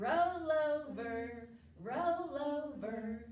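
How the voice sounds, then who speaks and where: Putting on a character voice, a woman speaks high with lively intonation, a slight echo around her. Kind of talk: preschool counting rhyme. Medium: read story.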